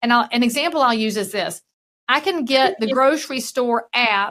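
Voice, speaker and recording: Her Southern US accent comes with a bright, sharp tone and a fairly high pitch at a moderate pace. The woman is heard in a very clean recording with a silent background. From US South. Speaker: real estate broker and keynote speaker. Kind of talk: podcast interview.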